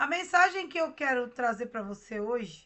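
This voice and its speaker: A woman speaks in a high voice. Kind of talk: devotional meditation. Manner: slow.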